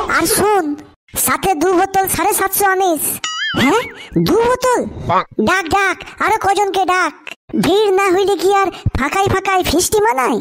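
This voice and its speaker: The speech moves at a moderate pace. It is delivered in a cartoonish character voice. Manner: loud, slangy.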